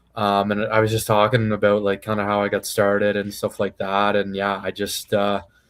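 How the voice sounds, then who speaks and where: A man speaks in a fairly low pitch. His intonation is monotone and flat, with hardly any pauses. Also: moderate pace. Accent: Maritime Canadian. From Canada, Prince Edward Island. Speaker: professional MMA fighter. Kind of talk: casual interview. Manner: relaxed, casual.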